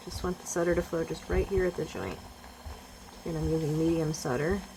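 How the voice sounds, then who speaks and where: A woman speaks fairly quickly in a fairly low voice with fairly even intonation, over noticeable background noise. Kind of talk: tutorial. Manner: soft-spoken; halting.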